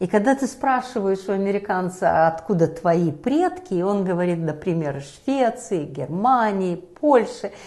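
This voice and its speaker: A woman speaks with an Eastern European accent at a moderate pace. Her pitch is medium and her intonation lively. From Belarus. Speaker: talk show host. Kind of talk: discussion show.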